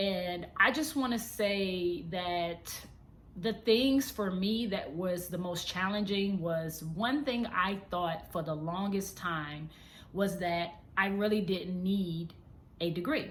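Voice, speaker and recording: Somewhat breathy and at a very slow pace, the speech shows ordinary pitch variation, with audible room echo. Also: woman, medium pitch for a woman. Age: 30s. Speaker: vlogger and model. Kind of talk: casual vlog monologue. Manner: unscripted, conversational.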